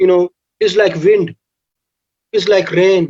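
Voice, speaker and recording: Recorded dry and close with no echo, a man speaks at a high pitch with fairly even intonation. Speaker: professor. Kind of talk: lecture. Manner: halting; loud. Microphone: far from the mic, too quiet.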